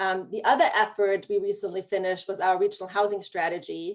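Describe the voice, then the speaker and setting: A woman with a German accent, medium pitch, fairly even intonation and a fairly quick pace. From Germany. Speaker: regional planning director. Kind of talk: panel discussion.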